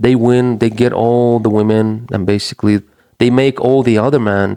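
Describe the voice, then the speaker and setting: Using fairly even intonation, a man with a non-native accent talks at a medium pitch and a fairly slow pace. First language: not English. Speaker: men's issues commentator. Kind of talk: casual monologue. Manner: halting, with frequent false starts.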